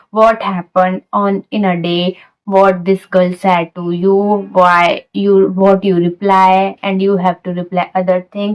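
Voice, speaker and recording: With an Indian accent, a woman speaks fairly slowly at a medium pitch in a monotone, flat intonation, the sound dry and close with no echo. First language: Hindi. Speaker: English learning vlogger. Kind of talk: casual talk to camera. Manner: non-native halting phrasing.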